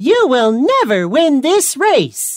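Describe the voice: Using a put-on character voice, a woman speaks slowly at a high pitch with very wide pitch swings, in a dry, close recording with no echo.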